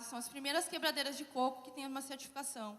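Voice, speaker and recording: A woman's high-pitched voice, bright and sharp in tone, comes out raised and projected. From southern Brazil, Porto Alegre. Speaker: social enterprise founder. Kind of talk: conference panel talk.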